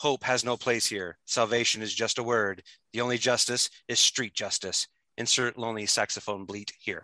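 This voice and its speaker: A man speaks at a moderate pace and medium pitch, his bright, sharp tone carrying a dramatic quality. The intonation is fairly even, and the sound is dry and close with no echo. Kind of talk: horror fiction reading. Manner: dramatic narration, gritty and punchy.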